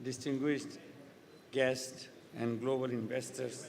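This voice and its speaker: Audible room echo surrounds a man talking at a medium pitch in a monotone, flat intonation. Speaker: official speaker at investment summit. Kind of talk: formal speech. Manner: formal.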